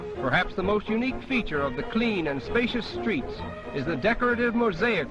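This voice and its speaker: With music in the background, the voice moves at a moderate pace through very wide pitch swings. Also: man. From United States. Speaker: travelogue narrator. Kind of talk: vintage travelogue documentary narration. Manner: formal, measured, declamatory.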